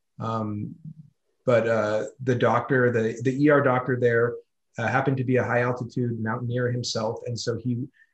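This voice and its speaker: In an American accent, the voice is somewhat breathy, with monotone, flat intonation and a moderate pace. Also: man. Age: 30s. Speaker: ultra-distance cyclist. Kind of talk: casual interview.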